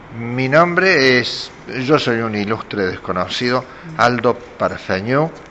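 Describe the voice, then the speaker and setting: A man's medium-pitched voice with lively intonation at a very slow pace, over noticeable background noise. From Argentina, Córdoba (Carlos Paz). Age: 60s. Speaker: poet. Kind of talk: casual talk, greeting message. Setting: cultural center event. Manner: hesitant with fillers.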